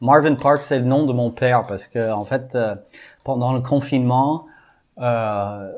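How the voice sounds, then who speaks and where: A man at a medium pitch with an American accent and ordinary pitch variation, on a very clean recording with a silent background. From US, Texas (Houston). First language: English (speaking French). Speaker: amateur baseball field builder. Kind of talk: interview.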